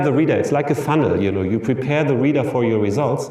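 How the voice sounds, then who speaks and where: Lively intonation with a German accent and audible room echo. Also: man. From Germany. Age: 50s. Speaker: professor. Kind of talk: lecture. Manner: halting.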